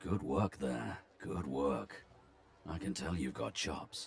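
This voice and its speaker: A man puts on a confident, raspy character voice, speaking very deep and low at a fairly slow pace. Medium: video game. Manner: dry, wry, confident.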